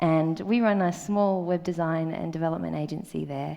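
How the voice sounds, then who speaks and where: Speaking at a fairly slow pace, a woman with an Australian accent keeps a fairly low pitch and fairly even intonation. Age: 30s. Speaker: conference speaker. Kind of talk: conference talk. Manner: hesitant, many ums.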